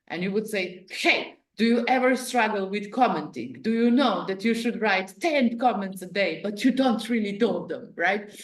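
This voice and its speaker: Heard with audible room echo, a woman with a fairly high pitch speaks at a moderate pace with ordinary pitch variation and hardly any pauses. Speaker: business strategy consultant. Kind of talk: interactive Q&A session. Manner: casual, filler-heavy.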